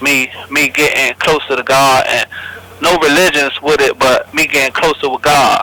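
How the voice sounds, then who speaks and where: Loudness stays very even throughout, with noticeable background noise. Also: man, moderate pace. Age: 20s. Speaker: federal prison inmate. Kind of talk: interview.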